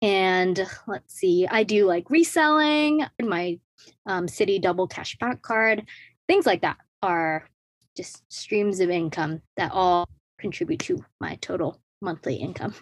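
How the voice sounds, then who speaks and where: In a very clean recording with a silent background and a dry, close sound with no echo, a woman speaks fairly slowly at medium pitch, her voice making very wide pitch swings. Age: 20s. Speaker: personal finance influencer. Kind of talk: interview.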